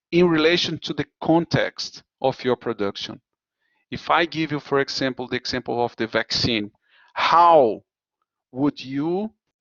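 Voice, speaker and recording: The speaker talks at a fairly slow pace with a Portuguese accent. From Brazil. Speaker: university lecturer. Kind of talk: lecture. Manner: halting.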